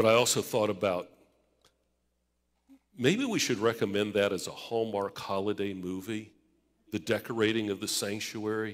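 Against a quiet background, a man speaks at a moderate pace in a fairly low pitch, with long, frequent pauses. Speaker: pastor. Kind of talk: sermon. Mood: warm, humorous. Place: church. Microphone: podium.

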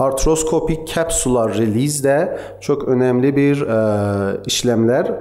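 The intonation of this man is lively. He talks at a very slow pace. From Iran, Tabriz (Azerbaijani-speaking); Iran. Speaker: physical medicine and pain specialist; conference presenter. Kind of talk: conference lecture; lecture. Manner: halting, many filler sounds. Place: hall. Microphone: podium.

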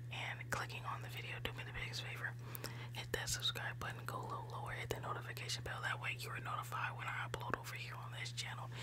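Over loud background noise, a soft-spoken woman whispers at a very fast pace. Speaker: ASMR creator. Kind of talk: ASMR intro to camera. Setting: close to microphone. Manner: soft-spoken, whispery, repetitive greetings. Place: home room. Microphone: studio mic.

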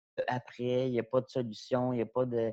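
A man speaks at a medium pitch and a fairly slow pace. The sound is dry with no echo, over a quiet background. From Quebec. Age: 40s. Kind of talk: panel talk. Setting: video call. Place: home room. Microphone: earbuds.

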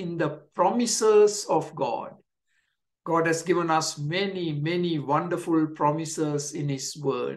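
A high-pitched man speaking at a fairly slow pace against a quiet background. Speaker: pastor. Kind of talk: sermon. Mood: warm, encouraging. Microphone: webcam.

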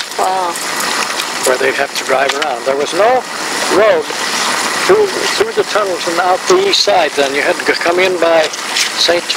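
A man's speech full of long, frequent pauses, dry with no echo, over loud background noise. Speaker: grandfather telling family history. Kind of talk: elderly man's rambling travel reminiscence, storytelling to family. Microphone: old recording.

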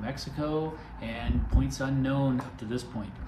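Noticeable background noise sits behind a man's voice. He keeps a moderate pace with ordinary pitch variation. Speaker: video host. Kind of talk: casual vlog chat. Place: home room.

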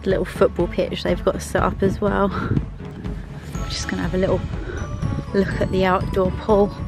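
Moderate pace against clear background music. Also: dry sound with no echo. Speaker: vlogger on holiday. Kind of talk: casual vlog chat. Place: garden. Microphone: phone near.

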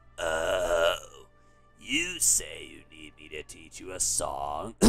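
A man puts on a character voice and speaks very slowly while clear music plays behind him. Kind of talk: reading game dialogue aloud. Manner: put-on voiced performance.

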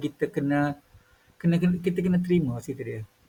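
Talking at a very fast pace, a man uses a fairly high pitch. His pitch variation is ordinary. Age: 50s. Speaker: YouTuber. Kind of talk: casual monologue.

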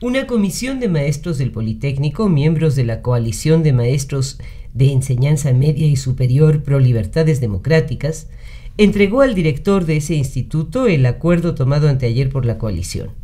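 At a moderate pace, a man talks in a fairly high, somewhat breathy voice with a dark, mellow tone and lively intonation. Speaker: historian chronicler reading a day-by-day radio chronicle. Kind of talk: radio news chronicle narration.

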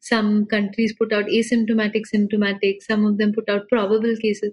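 A woman speaks at a moderate pace in a fairly high, somewhat breathy voice. Her intonation stays monotone and flat. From India, Pune. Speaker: data journalist. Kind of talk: interview conversation.

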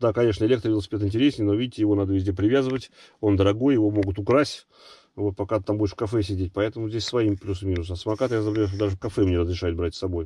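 Very fast and somewhat breathy, a man talks in a dark, mellow tone at a fairly low pitch with fairly even intonation. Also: dry sound with no echo. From Russia, Nizhny Novgorod; Russia. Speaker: travel vlogger. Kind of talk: casual chat, reading viewer comments. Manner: casual, halting. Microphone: phone near.

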